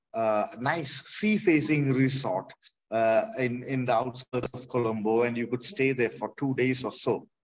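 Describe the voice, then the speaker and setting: At a fairly slow pace, a man with a medium pitch and ordinary pitch variation speaks in a Tamil accent. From Kerala, India. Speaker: artist. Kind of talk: panel discussion. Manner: halting, many fillers.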